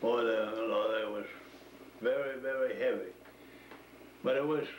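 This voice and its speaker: Someone speaks with an American accent amid light background noise and audible room echo. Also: man. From Maine, USA. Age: 80s+. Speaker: former woodsman; interviewee. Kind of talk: oral history interview answer. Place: kitchen. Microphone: old recording.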